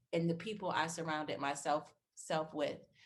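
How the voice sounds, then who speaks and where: Loud and animated, a woman speaks with a bright, sharp tone at a fairly low pitch. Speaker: interior designer. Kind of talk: interview.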